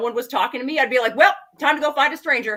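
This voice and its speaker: A woman's high-pitched voice in an animated tone. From English Canada, rural. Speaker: goth model and fashion designer. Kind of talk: casual interview chat. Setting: live stream interview.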